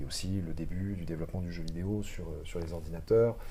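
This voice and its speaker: Audible room echo surrounds a man's voice. He speaks at a fairly quick pace with a dark, mellow tone. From Lorraine, France (countryside near Metz). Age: 30s. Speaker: actor. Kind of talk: casual chat. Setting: live podcast studio. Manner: hesitant, many fillers.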